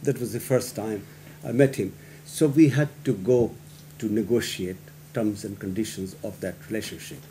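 Over light background noise, a man speaks at a moderate pace with a medium pitch and ordinary pitch variation. His tone is dark, mellow and somewhat breathy. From Pakistan. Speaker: guest. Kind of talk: panel discussion. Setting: public meeting with audience. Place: meeting room. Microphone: podium.

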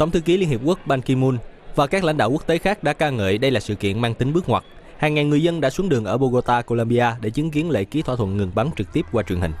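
Talking at a fast pace, a man with a medium pitch uses lively intonation and a slightly mellow tone.

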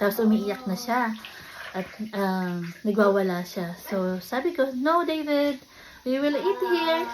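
A woman speaks at a fairly high pitch with very wide pitch swings. Noticeable background noise runs underneath. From Philippines. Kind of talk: casual vlog talk. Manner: halting, many fillers.

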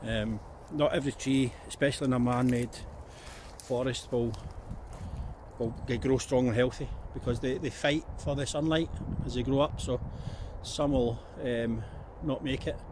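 Recorded with noticeable background noise and a dry sound with no echo, a man speaks in a somewhat breathy voice with fairly even intonation and long, frequent pauses. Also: moderate pace. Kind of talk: casual vlog chat. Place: forest. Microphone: phone near.

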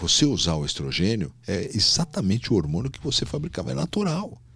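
Over a quiet background, a man talks at a fairly quick pace with very wide pitch swings and vocal fry, the sound dry with no echo. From São Paulo city, Brazil; Brazil. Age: 60s. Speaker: gynecologist and obstetrician; guest. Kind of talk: casual interview. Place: studio. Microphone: studio mic.

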